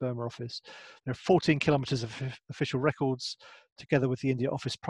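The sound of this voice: Over a quiet background, an unforced reading voice moves with fairly even intonation.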